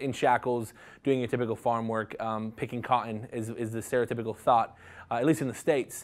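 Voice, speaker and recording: With an American accent, this man delivers his words at a fairly quick pace. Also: very clean recording, silent background. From US South, Jacksonville, Florida. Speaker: associate minister in training. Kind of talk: interview. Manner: hesitant, many fillers.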